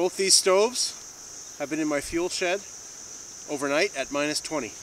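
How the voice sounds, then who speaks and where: A man speaks with ordinary pitch variation. Light background noise is present, and the sound is dry with no echo. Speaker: outdoor gear demonstrator. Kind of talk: tutorial. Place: open country.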